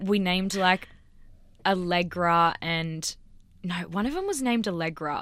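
Slow-ish and measured, a woman talks at a fairly slow pace with ordinary pitch variation. Long pauses come often. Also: medium pitch for a woman. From Australia, Sydney. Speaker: scientist. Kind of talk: casual chat. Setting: studio.

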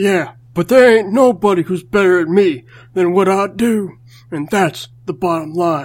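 The pitch sits in the middle. It's a put-on character voice at a moderate pace. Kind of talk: comic wrestler-style bravado. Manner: gruff, boastful drawl.

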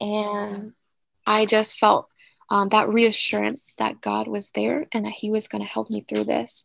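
A woman with an American accent at a fairly slow pace, in a dry, close sound with no echo. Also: quiet background. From Virginia, Newport News. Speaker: former evangelistic school staff member. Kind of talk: testimony.

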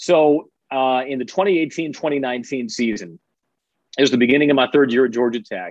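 A man speaks in a plain, everyday voice with an American accent. His pitch is medium, with ordinary pitch variation at a moderate pace. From Chicago suburbs. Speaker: college sports radio play-by-play broadcaster. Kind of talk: casual interview.

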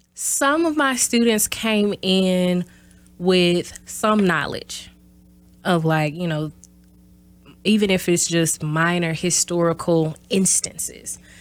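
With a Southern US accent, a woman speaks at a very slow pace and a fairly low pitch. She takes long, frequent pauses and uses ordinary pitch variation. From US South, small-town south Mississippi. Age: 30s. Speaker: university professor. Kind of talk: interview.

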